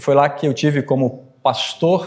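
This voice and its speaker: A man's fairly slow, fairly even-toned delivery. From northern Brazil, Pará (born Espírito Santo). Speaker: Lutheran professor and pastor. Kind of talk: talk or lecture to a church audience.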